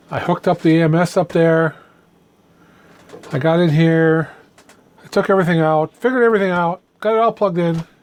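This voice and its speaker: A woman speaks at a fairly quick pace with long, frequent pauses and very even loudness. Her fairly low pitch shows ordinary variation. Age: 60s. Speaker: DIY repair YouTuber. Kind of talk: casual tutorial-style review. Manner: halting with repetitions; animated, ranting.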